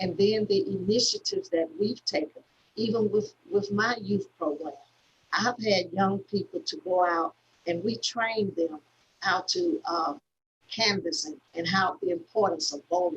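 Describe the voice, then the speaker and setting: Somewhat breathy, a woman with an Alabama accent speaks at a medium pitch and fairly slow pace with lively intonation. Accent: Southern US (Alabama). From US South, Selma, Alabama. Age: 60s. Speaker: civil rights activist. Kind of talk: conversation. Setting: video call. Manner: halting, many fillers and repeats.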